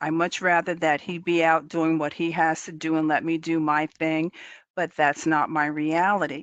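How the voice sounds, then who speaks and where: A woman's fairly low, monotone and flat voice at a moderate pace against a quiet background. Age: 60s. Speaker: employee assistance counselor. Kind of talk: webinar presentation.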